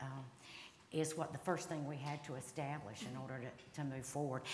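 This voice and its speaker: A woman with a Southern US accent is heard over noticeable background noise, with audible room echo. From North Carolina, Cabarrus County. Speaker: state legislator. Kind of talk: panel discussion. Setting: stage with audience.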